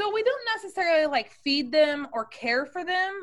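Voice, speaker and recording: Intonation rises and falls in a lively way as a woman speaks. Her pace is moderate. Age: 20s. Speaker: cleaning company owner. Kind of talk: interview. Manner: hesitant with frequent fillers.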